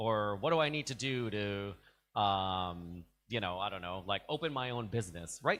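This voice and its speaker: On a very clean recording with a silent background, a man with a New York accent talks at a moderate pace with lively intonation. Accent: New York American English. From US, New York. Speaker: diplomat. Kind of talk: informal talk to students.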